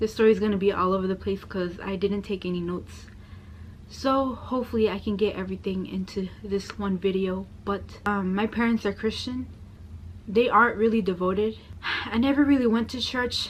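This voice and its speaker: Speaking at a fairly quick pace with an American accent, a woman uses a medium pitch, fairly even intonation and a somewhat breathy delivery. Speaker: convert sharing story. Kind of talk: personal testimony. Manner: soft-spoken.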